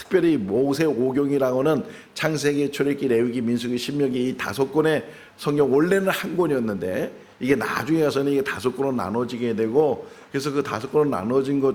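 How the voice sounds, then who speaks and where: In a room with audible echo, a man with a fairly high pitch talks at a fairly quick pace with lively intonation. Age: 60s. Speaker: pastor. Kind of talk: sermon. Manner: conversational.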